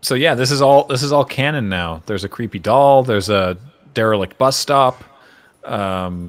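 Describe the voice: Simple, plain reading aloud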